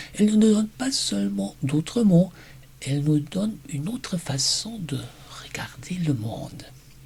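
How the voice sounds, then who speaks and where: Fairly slow, high-pitched speech from a man with very wide pitch swings, over noticeable background noise. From Germany. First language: German (speaking French). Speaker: German teacher. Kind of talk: personal presentation video.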